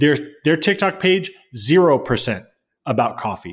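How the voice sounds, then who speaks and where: Vocal fry runs through this man's fairly high voice. His pitch swings very widely. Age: 30s. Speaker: podcast co-host. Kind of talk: casual chat.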